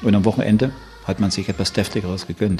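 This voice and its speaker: Vocal fry runs through a man's speech. The tone is dark and mellow. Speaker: museum guide. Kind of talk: interview.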